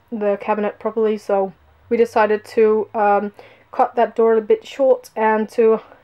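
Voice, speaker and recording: Speaking at a moderate pace, a woman keeps a fairly high pitch in a monotone, flat intonation. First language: not English. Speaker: vlogger. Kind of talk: casual vlog walkthrough. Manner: hesitant, many fillers.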